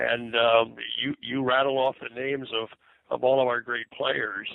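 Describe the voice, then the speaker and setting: A man's medium-pitched voice in monotone, flat intonation. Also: moderate pace. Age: 70s. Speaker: basketball executive. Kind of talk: interview. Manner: halting, many fillers.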